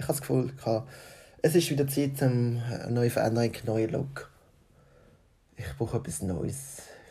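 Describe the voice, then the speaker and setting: With a somewhat breathy, dark, mellow tone and a medium pitch, a man speaks at a moderate pace with ordinary pitch variation and long, frequent pauses. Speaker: podcaster. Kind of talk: casual monologue.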